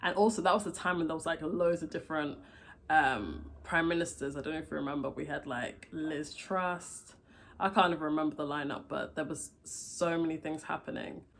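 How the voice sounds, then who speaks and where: A woman's very deep, low voice with vocal fry and ordinary pitch variation, at a fairly quick pace. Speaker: vlogger. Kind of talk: casual vlog. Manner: fast; animated.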